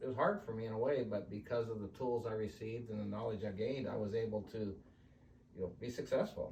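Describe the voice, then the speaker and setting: With an American accent, a man talks very fast in a fairly low pitch and a monotone, flat intonation. Noticeable background noise runs underneath. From California. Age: 60s. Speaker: team roper and businessman. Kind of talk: interview testimony.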